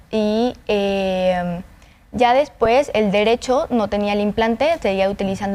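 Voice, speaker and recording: Her voice has a dark, mellow tone. The woman speaks at medium pitch with ordinary pitch variation. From Honduras. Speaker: cochlear implant user, volunteer. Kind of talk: interview testimony. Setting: studio.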